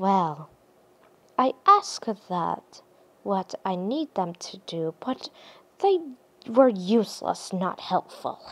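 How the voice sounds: Using a put-on character voice, a woman speaks at a medium pitch with a fairly bright tone and big pitch swings. Her pace is slow, with long, frequent pauses.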